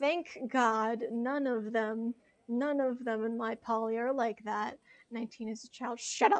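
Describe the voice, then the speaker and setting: Speaking with an American accent, a woman uses a plain, everyday voice with a fairly high pitch, a fairly slow pace and fairly even intonation. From United States. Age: 20s. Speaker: video game streamer. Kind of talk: casual chat. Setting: live stream.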